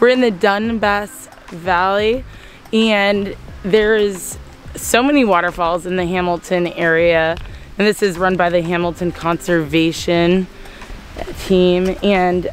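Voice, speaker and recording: Ordinary pitch variation over faint background music, with a dry sound and no echo. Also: woman. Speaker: travel vlogger. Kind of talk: casual vlog chat. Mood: excited, cheerful. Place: forest. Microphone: phone near.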